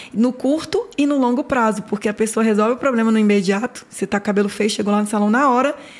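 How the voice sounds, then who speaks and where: Talking at a very fast pace with hardly any pauses, a woman keeps a fairly high pitch and fairly even intonation. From Minas Gerais, Brazil (Nanuque). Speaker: hair salon owner. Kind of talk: interview storytelling. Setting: studio.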